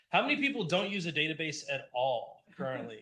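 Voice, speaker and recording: Loud and bright with a sharp tone, a man speaks at a moderate pace in a high pitch, with audible room echo around him. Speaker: conference speaker, app developer. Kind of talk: talk at a user group meetup. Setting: stage with live audience, also streamed on Zoom.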